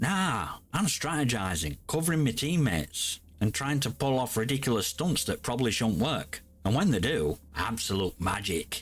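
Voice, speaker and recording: Over background music, a man with a grumpy tone and medium pitch speaks at a moderate pace with hardly any pauses, his loudness very even while his pitch swings very widely. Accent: Yorkshire. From Yorkshire, England. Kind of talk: casual gaming commentary to camera.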